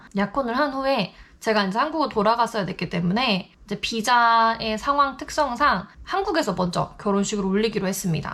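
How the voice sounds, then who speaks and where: This woman has a normal speaking voice, fairly high in pitch, with lively intonation at a moderate pace. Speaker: YouTuber in international couple. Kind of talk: vlog monologue to camera.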